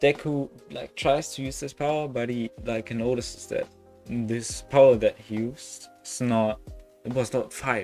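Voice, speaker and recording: With music in the background, a man with a non-native accent speaks very slowly at a medium pitch with fairly even intonation. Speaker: YouTube what-if storyteller. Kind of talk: casual story narration to camera. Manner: casual, rambling.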